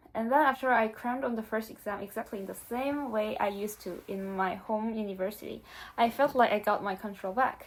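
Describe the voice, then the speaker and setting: In a very clean recording with a silent background, a woman with a Korean accent speaks at a fairly quick pace and fairly high pitch with ordinary pitch variation. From South Korea. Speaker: exchange student vlogger. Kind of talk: casual vlog monologue.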